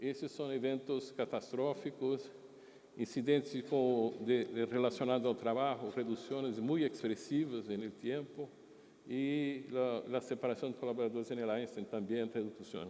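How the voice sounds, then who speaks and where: Speaking at a moderate pace, a man with a medium pitch and a dark, mellow tone shows ordinary pitch variation. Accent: Brazilian. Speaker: hospital executive. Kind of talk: conference presentation. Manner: halting.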